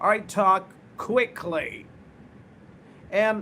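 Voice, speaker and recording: A man's raised, projected voice at a high pitch. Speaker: spoken English trainer. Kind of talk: live online English lesson. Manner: repetitive.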